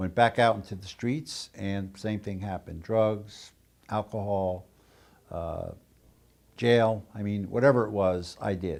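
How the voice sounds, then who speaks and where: On a very clean recording with a silent background, a man speaks fairly slowly at a fairly low pitch, with fairly even intonation but big swings in loudness. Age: 60s. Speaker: former addict, businessman. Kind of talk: interview testimony. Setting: on location at treatment center. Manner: hesitant, many fillers.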